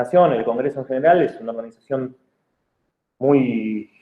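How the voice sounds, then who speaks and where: Talking very fast, a man uses lively intonation. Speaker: public official. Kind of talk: lecture. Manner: halting, many fillers and repeats.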